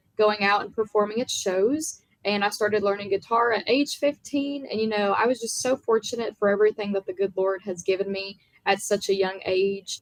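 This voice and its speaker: A woman with an American accent talks at a fairly quick pace. Her pitch is fairly high, and her intonation is fairly even. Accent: Southern accent, by others. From US South, small town in Virginia. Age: young. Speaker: country music singer. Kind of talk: interview.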